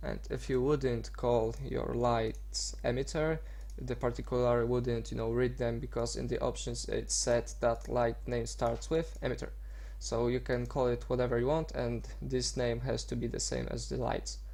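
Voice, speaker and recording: A man with a non-native accent talks at a moderate speed. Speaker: AMV editor. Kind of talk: software tutorial narration. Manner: casual, hesitant.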